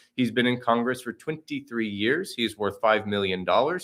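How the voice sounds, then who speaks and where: A man speaks at a moderate pace in an American accent. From Oklahoma. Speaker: political candidate. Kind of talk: campaign livestream talk. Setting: video livestream from campaign office. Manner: unscripted, conversational.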